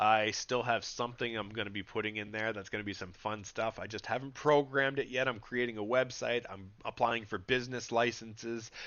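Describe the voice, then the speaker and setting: Man at a fairly quick pace with hardly any pauses. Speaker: gaming livestreamer. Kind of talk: casual livestream chat while gaming. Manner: animated.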